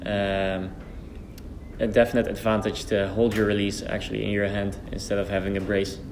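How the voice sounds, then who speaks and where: Over noticeable background noise, a man with a Dutch accent speaks with flat, monotone intonation. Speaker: archer and channel host. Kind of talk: interview. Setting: training centre. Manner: halting. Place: hall.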